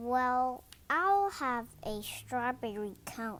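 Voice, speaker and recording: Using a put-on character voice, a woman speaks high in pitch with lively intonation. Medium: read story. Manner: gentle.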